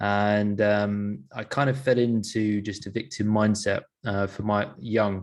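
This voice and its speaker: A man with an English accent and a fairly low pitch. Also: quiet background. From London, England. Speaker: sleep performance coach. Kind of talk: interview, personal story. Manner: casual, with many fillers.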